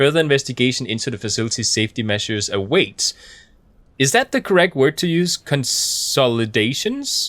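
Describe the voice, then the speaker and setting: A man with a non-native accent, fairly high pitch, lively intonation and a fairly quick pace. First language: not English. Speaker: gaming YouTuber. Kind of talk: game playthrough commentary. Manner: halting, many fillers.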